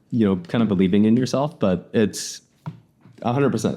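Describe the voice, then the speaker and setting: Speaking very fast with a Californian accent, a man uses lively intonation and a dark, mellow tone. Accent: Californian American English. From US West Coast, San Francisco Bay Area. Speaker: windsurfer and wing foiler. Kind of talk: casual chat.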